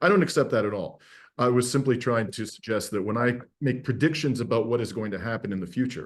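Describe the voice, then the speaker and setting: A man with an ordinary speaking voice, medium pitch and ordinary pitch variation against a quiet background. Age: 60s. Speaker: podcast host, lawyer and activist. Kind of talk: interview conversation. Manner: many fillers and false starts.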